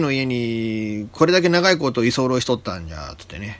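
Pitched in the medium range, a man speaks at a moderate pace. His pitch makes very wide swings. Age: 50s. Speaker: internet radio host. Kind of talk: casual solo radio talk. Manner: chatty, rambling, informal.

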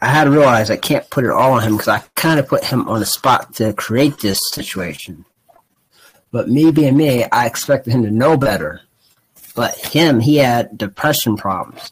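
A man speaks in a normal speaking voice at a moderate pace, with a medium pitch and ordinary pitch variation. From Ohio, US Midwest. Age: 20s. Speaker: podcast co-host. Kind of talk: casual chat.

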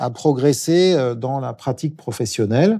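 This man's pitch sits fairly high, with a dark, mellow tone. He talks at a fairly slow pace with lively intonation. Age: 50s. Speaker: public digital agency director. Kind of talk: interview. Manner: hesitant with fillers.

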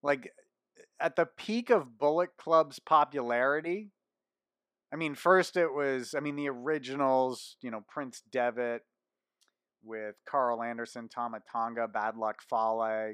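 At a fairly slow pace, a man talks in an unremarkable speaking voice with ordinary pitch variation, the sound dry and close with no echo. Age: 30s. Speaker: wrestling podcast host. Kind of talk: solo podcast news commentary.

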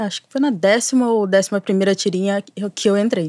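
This woman's voice sits at a medium pitch. The tone is dark and mellow, and the intonation fairly even. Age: 30s. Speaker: cyberactivist and screenwriting student. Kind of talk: casual chat.

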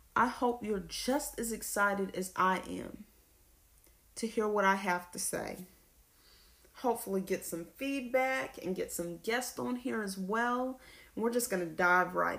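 With an American accent, an ordinary speaking voice moves at a fairly slow pace with ordinary pitch variation. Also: woman, medium pitch for a woman. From US South (Lawrenceville, Georgia). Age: 20s. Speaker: podcaster, college student. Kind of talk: solo podcast monologue.

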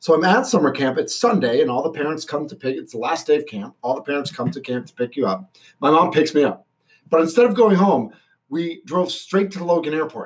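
A man in a Boston accent, fairly high in pitch, with very wide pitch swings. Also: fairly quick pace. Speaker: stadium announcer and radio personality. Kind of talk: casual chat.

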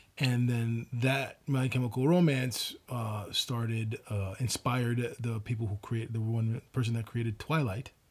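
The speaker is somewhat breathy, with fairly even intonation. The pace is fairly slow, with hardly any pauses. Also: man, medium pitch for a man. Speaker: podcast co-host. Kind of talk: casual chat.

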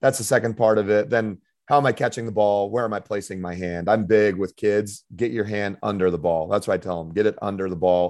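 The recording is very clean, with a silent background. A man with an American accent uses a normal speaking voice, fairly low and fairly even, at a fairly quick pace. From Colorado. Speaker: basketball coach and former pro player. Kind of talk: casual interview.

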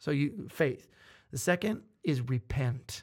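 A man speaks at a fairly high pitch, somewhat breathy. The recording is very clean with a silent background. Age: 30s. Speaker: pastor. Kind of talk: casual chat.

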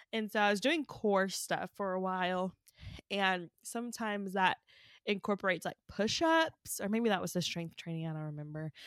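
A woman speaks at a moderate pace with lively intonation. Hers is a normal speaking voice, medium in pitch. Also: dry, close sound with no echo, very clean recording, silent background. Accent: American. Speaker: podcast co-host. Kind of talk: casual chat.

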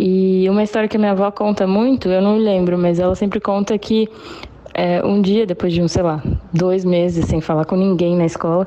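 Noticeable background noise behind a woman's fairly quick delivery. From Brazil (Foz do Iguaçu), born in Paraguay. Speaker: former exchange student. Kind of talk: recorded voice message.

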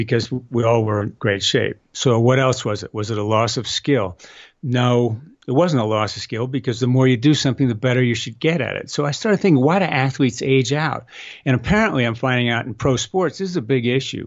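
Speaking at a fairly quick pace, a man has an unremarkable speaking voice at medium pitch with ordinary pitch variation. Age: 60s. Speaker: inventor of balance training system. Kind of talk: casual interview.

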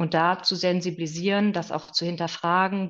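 Monotone, flat intonation marks this woman's speech. Her pace is moderate. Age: 40s. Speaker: naturopath. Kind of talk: expert interview.

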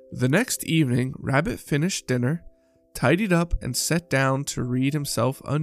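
The pitch varies in an ordinary way. The passage is read aloud in a natural voice.

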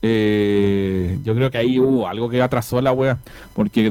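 A man speaks in a dark, mellow tone at a fairly slow pace. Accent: Chilean. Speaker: podcast host. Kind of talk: casual chat.

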